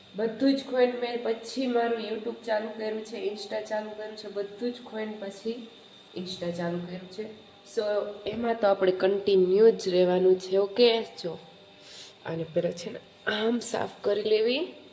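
Her voice sits fairly high for a woman and jumps widely in loudness. Noticeable background noise runs underneath. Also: fairly even intonation. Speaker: vlogger. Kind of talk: casual vlog.

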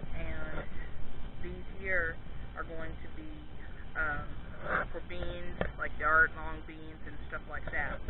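Very slow speech with long, frequent pauses, a dry sound with no echo, and loud background noise. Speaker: home gardener vlogger. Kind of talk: casual vlog chat. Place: garden. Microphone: phone near.

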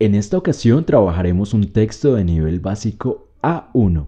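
Dark, mellow, somewhat breathy male voice, fairly slow, with lively intonation, over a quiet background. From Colombia, Bogotá. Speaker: Spanish teacher. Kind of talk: reading aloud; tutorial. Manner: clear, slow.

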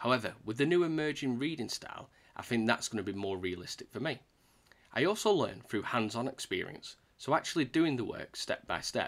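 A man with a British accent, lively intonation and a fairly quick pace. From UK. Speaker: YouTuber teaching Salesforce certification. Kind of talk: tutorial. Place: home room.

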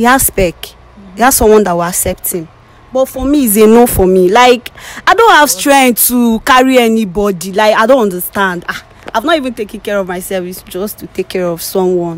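Fairly high-pitched woman with a Nigerian accent, lively intonation, a fairly quick pace, and a dry sound with no echo. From Nigeria, southeast. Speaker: blind date participant; interviewee. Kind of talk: casual conversation. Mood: dismissive, exasperated. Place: street. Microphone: handheld.

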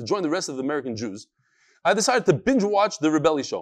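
A man talks at a very fast pace with very wide pitch swings and vocal fry. The background is quiet. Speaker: religious teacher. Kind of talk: lecture, reading viewer letters. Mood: light, joking. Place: studio. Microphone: lapel.

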